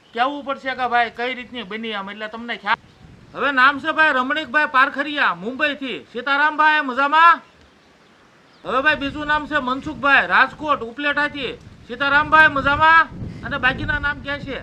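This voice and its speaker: Raised, projected voice of a man at an extremely high pitch, over noticeable background noise. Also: ordinary pitch variation. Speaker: farmer vlogger. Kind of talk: casual vlog talk. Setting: outdoors on farm. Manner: loud.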